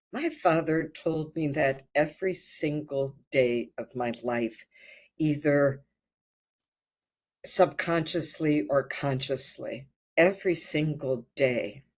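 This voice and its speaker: In a very clean recording with a silent background, a woman with a Midwestern American accent speaks very slowly at a very deep, low pitch with ordinary pitch variation. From US Midwest (rural Ohio). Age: 70s. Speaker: birth and hypnosis retreat leader. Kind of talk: life story interview. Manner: halting, frequent fillers and repetitions.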